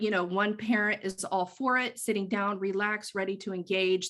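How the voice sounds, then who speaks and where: Against a quiet background, a woman with a plain, everyday voice talks at a moderate pace, her medium pitch following fairly even intonation. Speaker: early childhood mental health consultant. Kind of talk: conference presentation.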